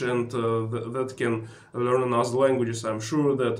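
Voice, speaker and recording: Over noticeable background noise and audible room echo, a speaker with a Russian accent talks at a fairly slow pace. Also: man. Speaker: travel vlogger. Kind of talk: tutorial. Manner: halting with many filler sounds.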